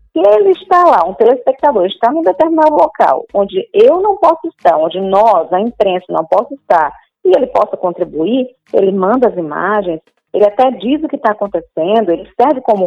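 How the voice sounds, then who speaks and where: The voice moves at a moderate pace with very wide swings in pitch. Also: woman. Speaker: journalist and TV presenter. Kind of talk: interview. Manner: hesitant, many fillers.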